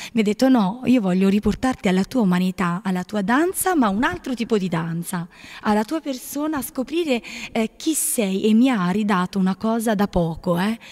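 Against a quiet background, a woman with a fairly high pitch talks at a moderate pace with lively intonation. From Apulia, southern Italy. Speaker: nun. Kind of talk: testimony. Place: home room. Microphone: handheld.

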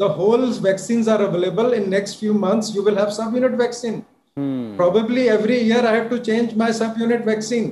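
Over light background noise and audible room echo, a man with a high voice talks at a fairly quick pace with fairly even intonation. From India. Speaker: physician; guest. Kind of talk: TV panel discussion; interview answer. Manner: emphatic, repetitive. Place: home room. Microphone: video call.

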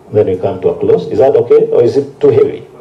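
A man speaks in a Kenyan accent. Light background noise can be heard. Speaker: committee chairperson. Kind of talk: chairing a parliamentary committee. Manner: calm, authoritative. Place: hall. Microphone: podium.

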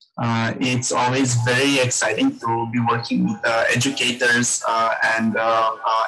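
A man speaking over faint music in the background. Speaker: guest. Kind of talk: webinar presentation. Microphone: webcam.

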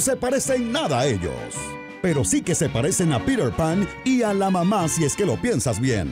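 A man's high pitch with very wide pitch swings, music playing in the background. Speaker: voice-over narrator. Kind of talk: parody movie trailer narration.

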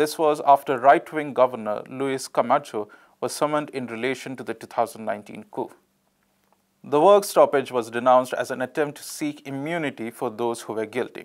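A man's medium-pitched, ordinary speaking voice at a moderate pace, with ordinary pitch variation and big swings in loudness, on a very clean recording with a silent background. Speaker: news presenter. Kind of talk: news reading, scripted headlines and reports. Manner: formal, steady, neutral newsreader delivery.

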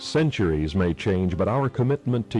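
A man speaks at a moderate pace with very wide pitch swings. Faint music plays in the background. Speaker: radio host; war veteran. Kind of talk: radio commercial read. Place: studio.

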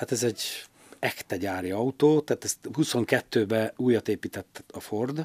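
Talking very slowly, a man keeps his pitch variation ordinary. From Hungary, Győr area; Hungary. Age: 60s. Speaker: rally club president, former rally driver; podcast guest. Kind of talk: casual interview. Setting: studio. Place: studio. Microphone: studio mic.

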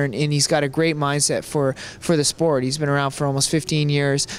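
A man speaks fairly quickly with a Canadian accent, his pitch fairly high and his intonation monotone and flat. The sound is dry, with no echo. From Canada. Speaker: professional MMA fighter; interviewee. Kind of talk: interview. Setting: hotel. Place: hall.

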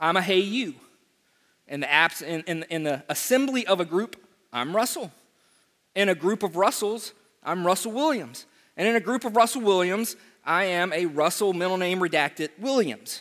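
The background is quiet as a man speaks in a bright, sharp tone. He leaves long, frequent pauses. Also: moderate pace. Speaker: preacher. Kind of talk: sermon. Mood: humorous, animated. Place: church.

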